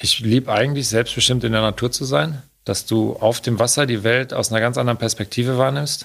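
Using a normal speaking voice, a man holds a medium pitch and fairly even intonation. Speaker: Olympic canoe athlete. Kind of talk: interview.

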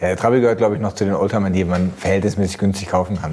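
Pitch moves only a little from line to line. Clear background noise runs throughout. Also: man. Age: 40s. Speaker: car journalist. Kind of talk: casual chat.

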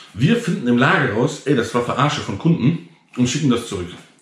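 Audible room echo surrounds a man speaking at a moderate pace with vocal fry. His fairly high pitch rises and falls with lively intonation. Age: 30s. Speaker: entrepreneur and online content creator. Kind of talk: casual direct-to-camera vlog monologue. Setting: self-recorded GoPro video. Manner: tired, low-energy delivery; many filler sounds (ähm, äh).

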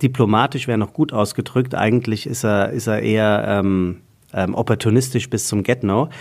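The speaker has a plain, everyday voice. Pitch varies in an ordinary way. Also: man. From Hesse, Taunus near Frankfurt. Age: 40s. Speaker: podcast host and voice-over speaker. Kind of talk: casual chat.

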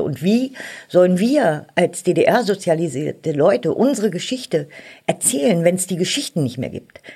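Her voice has a dark, mellow tone, and this woman speaks at a fairly low pitch. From East Germany, Berlin. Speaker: politician, member of parliament. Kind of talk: interview. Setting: studio.

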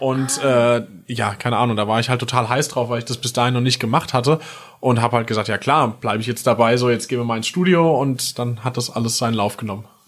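This man talks at a very fast pace with fairly even intonation. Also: medium pitch for a man. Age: 30s. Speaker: musician. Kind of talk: casual interview. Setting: recording studio.

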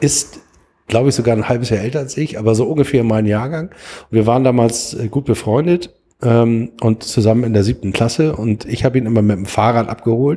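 A man's medium-pitched voice has a dark, mellow tone and ordinary pitch variation. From Hamburg, Germany. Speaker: football podcast host. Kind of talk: casual chat.

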